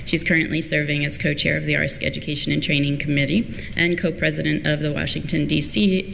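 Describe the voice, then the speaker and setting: At a fairly quick pace and very even loudness, a woman speaks with hardly any pauses over light background noise. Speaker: conference session moderator. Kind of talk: speaker introduction. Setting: stage with audience. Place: hall. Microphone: podium.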